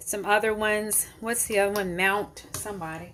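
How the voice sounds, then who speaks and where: Bright and sharp in tone, a woman's fairly high voice carries a slight Memphis accent and monotone, flat intonation. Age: 40s. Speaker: home cooking channel host. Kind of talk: cooking tutorial. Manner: casual, conversational with fillers.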